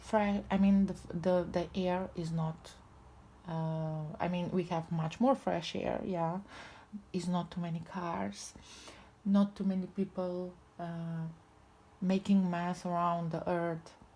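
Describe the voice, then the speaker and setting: A woman with a non-native accent speaks very slowly, with long, frequent pauses. Her voice is somewhat breathy and dark and mellow in tone, fairly low in pitch, with monotone, flat intonation. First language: not English. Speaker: tarot reader. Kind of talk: spiritual tarot reading. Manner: halting.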